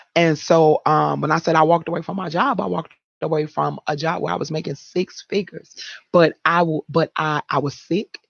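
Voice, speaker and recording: Her very deep, low voice carries vocal fry, moving at a fairly quick pace with fairly even intonation. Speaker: accountability coach and speaker. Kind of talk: interview.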